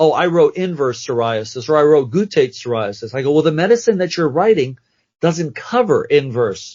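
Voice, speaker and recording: Somewhat breathy, a man speaks at a fairly high pitch with very wide pitch swings. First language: not English. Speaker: dermatology nurse practitioner. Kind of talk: podcast interview. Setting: podcast recording. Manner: animated.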